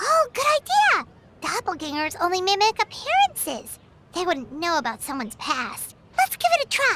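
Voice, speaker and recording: The put-on character voice sits at an extremely high pitch, swings very widely in pitch, and moves at a moderate pace. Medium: video game. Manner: chatty, casual.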